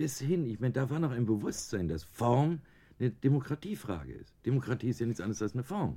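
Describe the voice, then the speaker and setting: This man talks at a fairly quick pace in a medium pitch, his dark, mellow tone edged with vocal fry and marked by very wide pitch swings. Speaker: design professor. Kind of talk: radio interview.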